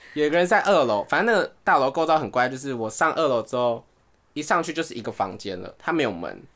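A man's fairly high voice with very wide pitch swings at a very fast pace, on a very clean recording with a silent background. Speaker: podcast co-host. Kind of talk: casual chat.

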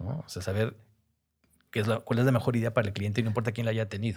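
The voice is somewhat breathy, with fairly even intonation. It moves at a very fast pace. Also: man. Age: 50s. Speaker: advertising copywriter. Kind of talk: casual interview chat.

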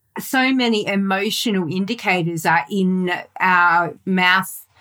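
A very slow voice in an Australian accent, bright and sharp in tone, with ordinary pitch variation and a very clean recording over a silent background. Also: woman. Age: 50s. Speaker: podcast co-host. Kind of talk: casual chat.

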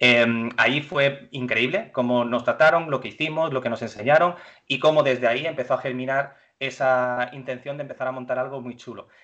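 Over a quiet background, a man with a medium pitch talks at a fairly quick pace in a bright, sharp tone. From Spain, Málaga (Andalusia). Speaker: gaming tech professional. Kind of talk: interview with screen-share demo.

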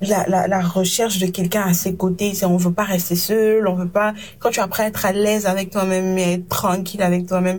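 At a moderate pace, a woman talks in a somewhat breathy, medium-pitched voice with fairly even intonation. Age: 20s. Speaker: podcast host. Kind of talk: casual interview conversation.

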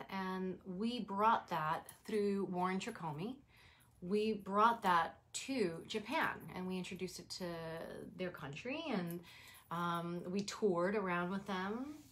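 A woman speaks at a very slow pace. Her pitch sits in the medium range and varies in an ordinary way. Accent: New York. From New York City, the Bronx. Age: 40s. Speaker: hairstylist and colorist. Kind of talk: casual interview chat.

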